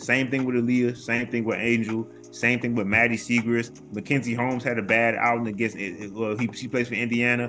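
Over music in the background, a man speaks at a medium pitch and a fairly quick pace. His intonation is monotone and flat. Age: 30s. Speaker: college basketball commentator. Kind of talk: casual chat.

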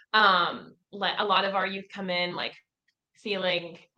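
A woman with an unremarkable speaking voice, medium in pitch, at a moderate pace. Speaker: podcast co-host, youth center staff. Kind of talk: casual chat.

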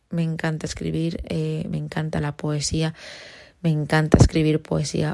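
This is a very clean recording with a silent background. A woman speaks in a fairly low voice. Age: 20s. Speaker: podcaster, university student. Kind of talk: casual monologue. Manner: spontaneous, unscripted.

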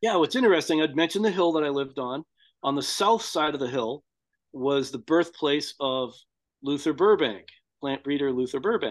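A plain, everyday voice at a moderate pace, lively intonation, and a quiet background. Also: man, fairly high pitch for a man. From US, Boston suburbs, Massachusetts. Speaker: farmer and tree crop breeder. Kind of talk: casual interview.

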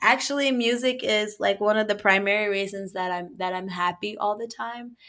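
On a very clean recording with a silent background, a voice with a bright, sharp tone moves at a moderate pace with ordinary pitch variation. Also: woman. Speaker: podcast host. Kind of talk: casual chat. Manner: animated, jokes, breaks into song.

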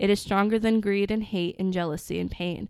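A woman's medium-pitched voice at a moderate pace, in a very clean recording with a silent background. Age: 20s. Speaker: podcast co-host. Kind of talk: casual chat; reading aloud. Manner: animated.

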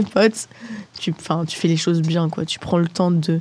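The woman speaks in a dark, mellow tone. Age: 20s. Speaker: student podcast host. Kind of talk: casual chat among friends.

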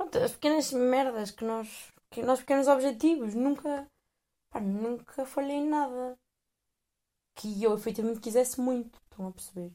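A woman speaks in a European Portuguese accent, her tone dark and mellow and her intonation lively. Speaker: podcast host. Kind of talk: casual monologue. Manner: hesitant, many fillers.

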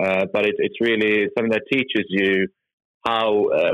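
With a Norwegian accent, the speaker talks at a moderate pace. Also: man. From Norway. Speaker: tech company executive. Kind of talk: interview. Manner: halting.

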